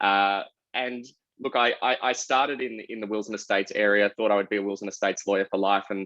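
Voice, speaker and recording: A man with an Australian accent speaks very fast at a fairly low pitch in a flat monotone. The sound is dry and close with no echo, over a quiet background. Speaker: lawyer and tech executive. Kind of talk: panel discussion. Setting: online video panel.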